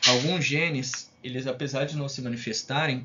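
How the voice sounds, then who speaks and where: A man speaks at a medium pitch, with noticeable background noise present. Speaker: science teacher. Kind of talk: lecture. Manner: fast; casual, with many fillers.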